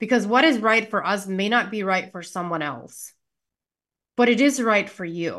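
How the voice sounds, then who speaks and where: Over a quiet background, a woman with an American accent talks at a moderate pace in a plain, everyday voice, with a medium pitch, ordinary pitch variation and big swings in loudness. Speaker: healthcare practitioner and wellness entrepreneur. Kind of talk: interview.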